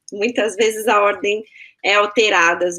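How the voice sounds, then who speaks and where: A woman speaks in a São Paulo accent at a moderate pace. Her pitch is medium and varies in an ordinary way. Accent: Brazilian Portuguese, paulistano. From Brazil, São Paulo. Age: 30s. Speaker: marketing executive. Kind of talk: interview.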